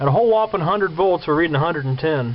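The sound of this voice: A man at a fast pace, with a fairly high pitch and lively intonation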